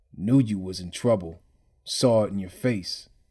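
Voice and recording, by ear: Putting on a character voice, a man sounds raspy and wheezy, with a fairly low pitch, ordinary pitch variation and a moderate pace.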